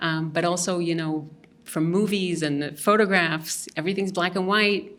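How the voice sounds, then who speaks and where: A woman speaks at a moderate pace with fairly even intonation and a fairly low pitch. Noticeable background noise and audible room echo accompany her. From Mexico City, Mexico. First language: Hebrew and Spanish. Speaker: visual artist. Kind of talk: interview. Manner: hesitant, many fillers.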